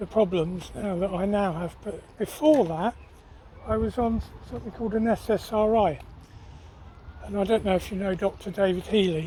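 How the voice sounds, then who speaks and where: A man with an English accent speaks at a moderate pace in a high pitch, with ordinary pitch variation and long, frequent pauses. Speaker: vlogger. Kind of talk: casual chat; cooking vlog narration. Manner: halting.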